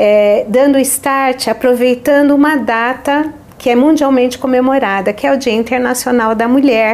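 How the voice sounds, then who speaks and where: A woman at a high pitch with ordinary variation, fairly slow pace, and noticeable background noise. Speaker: podcast host. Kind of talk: podcast introduction.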